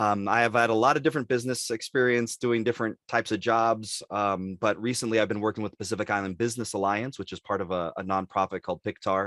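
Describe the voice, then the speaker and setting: A man speaks very fast in a fairly low voice with fairly even intonation. The sound is dry and close with no echo. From Los Angeles, California. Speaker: city council candidate. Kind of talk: candidate forum.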